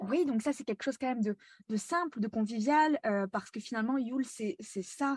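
A woman's fairly high voice at a moderate pace, with ordinary pitch variation and a dry, close sound with no echo, on a very clean recording with a silent background. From France. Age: 20s. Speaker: spiritual guide. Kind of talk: interview. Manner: lively.

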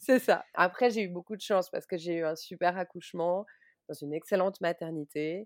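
A woman's normal speaking voice, fairly low-pitched, at a moderate pace with ordinary pitch variation, dry and close with no echo. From Switzerland. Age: 30s. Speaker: book publisher and mother. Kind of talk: personal testimony interview.

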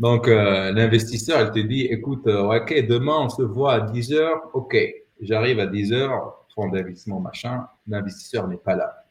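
Ordinary pitch variation in a somewhat breathy, medium-pitched male voice moving at a fairly slow pace. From Morocco, Rabat. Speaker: entrepreneur and former dating coach. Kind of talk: casual interview. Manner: halting.

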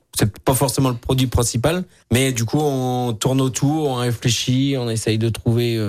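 In a very clean recording with a silent background, a man with a normal speaking voice and medium pitch talks at a fairly slow pace with fairly even intonation. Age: young. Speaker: chef. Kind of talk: radio interview. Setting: studio.

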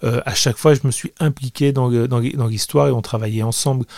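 Fairly even intonation at a moderate pace, in a dry, close recording with no echo. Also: man. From France, Grenoble area, Italian family. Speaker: comic book artist. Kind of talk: interview. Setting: his small studio. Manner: hesitant, many repetitions.

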